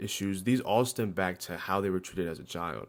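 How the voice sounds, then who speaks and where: A man's very deep, low voice with ordinary pitch variation, on a very clean recording with a silent background. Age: 20s. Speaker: vlogger. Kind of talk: personal monologue. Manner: casual.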